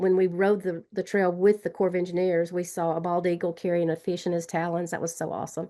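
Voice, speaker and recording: A dark, mellow tone in a Southern US accent, hardly any pauses, over a quiet background. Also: woman. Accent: Southern drawl. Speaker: trail advocate. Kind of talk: webinar panel discussion. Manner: fast; animated.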